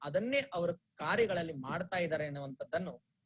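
With a Telugu accent, a man speaks at a high pitch with lively intonation. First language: Telugu (speaking Kannada). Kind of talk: religious discourse. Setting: online broadcast. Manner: measured, pause-filled delivery.

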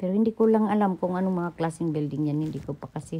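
A woman talks in a dark, mellow tone. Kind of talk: casual vlog commentary. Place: car. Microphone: phone near.

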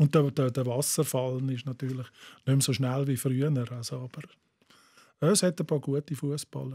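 Against a quiet background, a man speaks at a moderate pace in a dark, mellow tone, somewhat breathy and with fairly even intonation. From Bavaria, south of Munich. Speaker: writer and football poet; football poet. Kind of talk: casual chat. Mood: relaxed, chatty. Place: studio. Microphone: studio mic.

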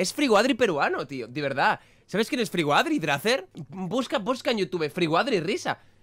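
This man's delivery is fairly quick. Very wide swings run through his pitch. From Spain. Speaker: youtuber. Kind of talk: reaction video commentary. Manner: animated. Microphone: studio mic.

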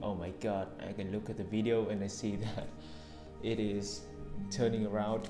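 Clear music plays behind a man who speaks in a fairly low voice with a Vietnamese accent. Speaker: English learner. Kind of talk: casual talk to camera. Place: home room. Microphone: earbuds.

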